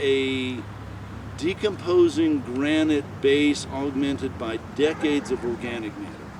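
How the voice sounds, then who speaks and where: Fairly slow delivery with ordinary pitch variation over noticeable background noise. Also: man, fairly high pitch for a man. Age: 60s. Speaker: arborist teaching a class. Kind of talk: outdoor walking class talk. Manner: casual, halting with fillers.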